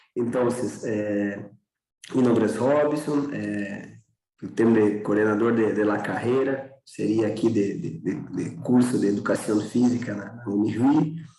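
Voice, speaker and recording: Speaking at a fairly slow pace with ordinary pitch variation, a man with a Portuguese accent is heard amid audible room echo. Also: fairly low pitch for a man. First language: Portuguese (speaking Spanish). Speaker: physical education program coordinator. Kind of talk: panel discussion.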